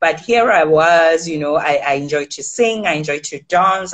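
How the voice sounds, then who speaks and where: Against a quiet background, a woman talks at a moderate pace. Her pitch is very deep and low, with ordinary variation. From South Africa. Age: young. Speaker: news anchor and author. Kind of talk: interview conversation. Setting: remote call. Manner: hesitant, many fillers and repeated words. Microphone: video call.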